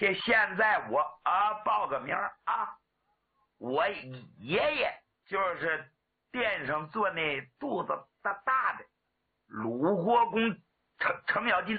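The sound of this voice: In a put-on character voice with a slightly husky edge, the speaker moves slowly and makes big pitch swings. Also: man, high pitch for a man.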